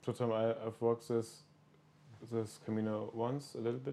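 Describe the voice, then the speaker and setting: Speaking in a German accent, a man of medium pitch talks at a moderate pace in a dark, mellow tone. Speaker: podcast host. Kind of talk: casual interview. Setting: in person, small village on pilgrimage.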